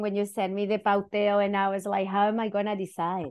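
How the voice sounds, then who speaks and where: A Spanish accent against a quiet background. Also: woman. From northern Chile. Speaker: educator and activist. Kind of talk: interview conversation.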